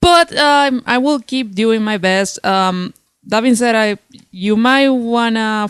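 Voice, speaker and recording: A woman with a Spanish accent speaks at a fairly slow pace. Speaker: comic book reviewer. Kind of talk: unscripted video review. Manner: halting, tongue-tied.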